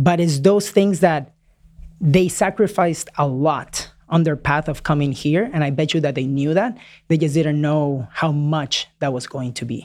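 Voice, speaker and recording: A fairly slow pace and a Spanish accent in a very clean recording with a silent background. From Peru, moved to Florida at 9. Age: 30s. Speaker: real estate investor. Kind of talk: interview conversation. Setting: in person studio.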